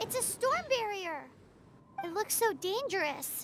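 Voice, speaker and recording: A put-on character voice with an extremely high pitch goes along at a fairly slow pace over clear background noise. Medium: video game. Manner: excitable.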